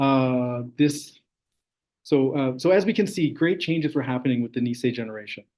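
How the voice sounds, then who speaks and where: A man talks at a fairly quick pace in a normal speaking voice. His pitch is fairly high, with ordinary pitch variation. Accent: Canadian. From interior of British Columbia, Canada. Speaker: graduate student researcher. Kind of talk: academic talk. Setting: online session.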